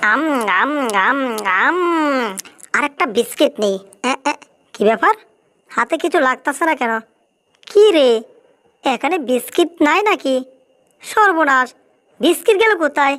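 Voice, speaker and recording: Using a put-on character voice, a female-sounding speaker talks at a moderate pace with a high pitch. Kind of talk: comic overacting. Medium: fan dub. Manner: excitable, exclamatory.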